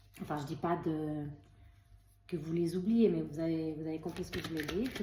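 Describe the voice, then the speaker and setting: A woman with a fairly low pitch talks at a fairly quick pace, with audible room echo and noticeable background noise. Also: fairly even intonation. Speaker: tarot card reader. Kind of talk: spiritual card reading video. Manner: hesitant, many fillers and repetitions.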